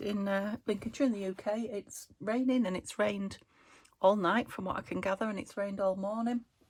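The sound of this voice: The voice is croaky with a slightly mellow tone. It moves at a fairly quick pace. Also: woman.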